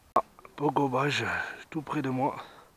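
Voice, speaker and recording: A man speaks at a moderate pace. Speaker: carp angler filming his fishing. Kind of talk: on-the-spot fishing commentary. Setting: outdoors at a pond. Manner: enthusiastic, repetitive; soft-spoken, quiet to not scare fish.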